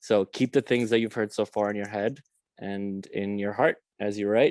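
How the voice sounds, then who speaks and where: Against a quiet background, a man with a fairly low pitch speaks at a moderate pace in a monotone, flat intonation, the sound dry and close with no echo. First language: Romanian. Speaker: workshop facilitator. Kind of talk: guided writing exercise instructions. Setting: video call. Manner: casual.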